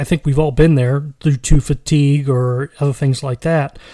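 This man's voice sits at a fairly high pitch with a dark, mellow tone. He speaks at a fairly slow pace with fairly even intonation. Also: dry, close sound with no echo. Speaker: solo podcast host on tabletop gaming. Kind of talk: casual solo podcast monologue. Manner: hesitant, many fillers.

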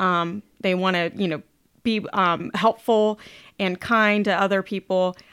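At a moderate pace, this speaker with an American accent is heard in a very clean recording with a silent background and a dry, close sound with no echo. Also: woman. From Ohio. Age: 40s. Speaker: fitness trainer and supplement sales representative. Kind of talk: casual interview. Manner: upbeat.

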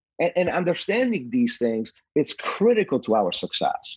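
At a moderate pace, a man's pitch swings very widely in a dry, close sound with no echo. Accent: slight Polish. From Poland. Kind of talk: casual interview chat.

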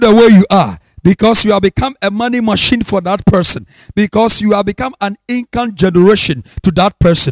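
A man speaks in a high pitch with ordinary pitch variation. The sound is dry and close, with no echo. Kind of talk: charismatic sermon with prophetic declarations. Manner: emphatic, rhythmic, repetitive proclamation in a rising, fervent preaching cadence.

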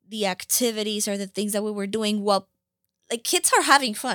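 A woman with a Spanish accent speaks at a medium pitch, with ordinary pitch variation. The recording is very clean, with a silent background and a dry, close sound with no echo. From Colombia (Bogota). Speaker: nonprofit founder. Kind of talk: interview.

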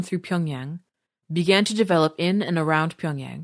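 This woman has an ordinary speaking voice, fairly low in pitch with ordinary variation, moving at a moderate pace against a quiet background with a dry, close sound and no echo. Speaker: podcast narrator. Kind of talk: reading aloud. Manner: formal.

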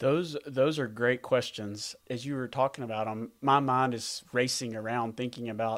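A man with a Southern US accent talks at a moderate pace with hardly any pauses, his medium pitch and fairly even intonation captured in a very clean recording over a silent background. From US South. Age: 40s. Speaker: veterinary practice owner, former teacher. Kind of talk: podcast interview.

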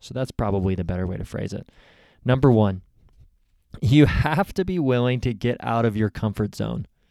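In a dark, mellow tone, a man talks at a moderate pace on a very clean recording with a silent background. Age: 30s. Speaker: podcast host. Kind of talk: solo podcast monologue, advice. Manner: casual, conversational.

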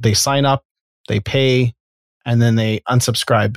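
With a Canadian accent, a man in an unremarkable speaking voice talks at a medium pitch and a moderate pace with ordinary pitch variation, in a dry, close sound with no echo over a very clean recording with a silent background. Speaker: podcast host. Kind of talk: interview, casual conversation.

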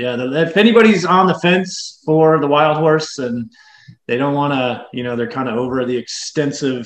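The man has a normal speaking voice. He talks at a medium pitch and a moderate pace. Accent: American. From US South, West Tennessee. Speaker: bike shop owner and mechanic. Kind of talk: casual interview.

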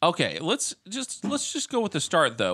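A man talks at a fairly quick pace. Vocal fry runs through his voice. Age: 30s. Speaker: podcast co-host. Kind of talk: casual chat. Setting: at a co-host's house.

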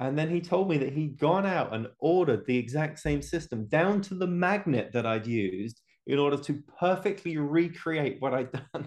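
Talking with an English accent, a man uses lively intonation and a fairly high pitch at a moderate pace, with hardly any pauses. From England. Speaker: homebrewing video creator. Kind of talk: casual chat.

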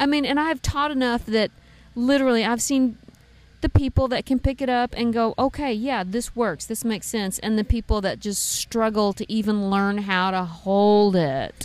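The pace here is moderate. A woman talks with a fairly high pitch. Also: ordinary pitch variation. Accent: Tennessee. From East Tennessee, raised partly in Texas. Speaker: bluegrass fiddler and songwriter. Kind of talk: casual interview chat. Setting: backstage at outdoor festival.

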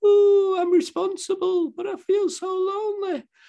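A man puts on a whiny character voice at an extremely high pitch. He speaks at a moderate pace in a monotone, flat intonation. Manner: mock crying, whiny.

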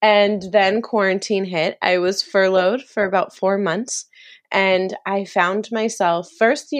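Against a quiet background, a woman with an American accent speaks in a normal speaking voice at medium pitch, with ordinary pitch variation and a moderate pace. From US East Coast, Maryland near DC. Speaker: author and commercial producer. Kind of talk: casual interview chat.

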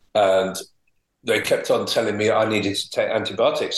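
At a moderate pace, a man speaks in a Welsh accent. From Wales. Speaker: homeopath and teacher. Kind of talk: interview.

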